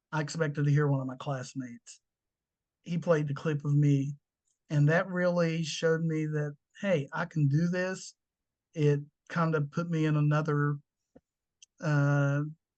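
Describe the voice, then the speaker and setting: Fairly high-pitched male speech in an American accent, monotone and flat, at a fairly slow pace with long, frequent pauses against a quiet background. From Southern West Virginia, McDowell County. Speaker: university staff member and former athlete. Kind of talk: interview.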